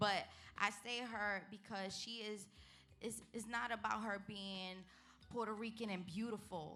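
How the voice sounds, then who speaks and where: With music in the background and audible room echo, a woman with a Brooklyn accent speaks at a fairly slow pace and medium pitch. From New York City, Brooklyn. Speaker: entertainer. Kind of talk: interview.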